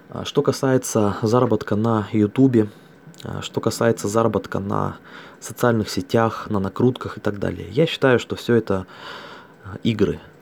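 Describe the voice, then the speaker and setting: At a moderate pace broken by long, frequent pauses, a man speaks at a medium pitch with fairly even intonation. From Russia, Altai Krai. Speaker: network marketing distributor. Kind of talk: monologue recording.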